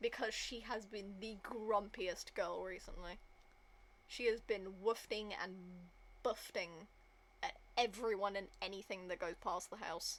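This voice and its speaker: A woman with a British accent speaks at a fairly slow pace in a medium pitch, her intonation fairly even and her speech broken by long, frequent pauses. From Britain. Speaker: gaming streamer. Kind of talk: casual gameplay commentary.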